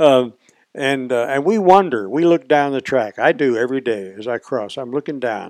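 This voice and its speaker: A man with a Southern US accent speaks at a moderate pace with lively intonation, recorded dry and close with no echo against a quiet background. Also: medium pitch for a man. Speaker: podcast host. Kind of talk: casual interview.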